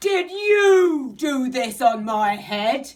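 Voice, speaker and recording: A woman's high-pitched delivery comes through as a put-on character voice. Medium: read story.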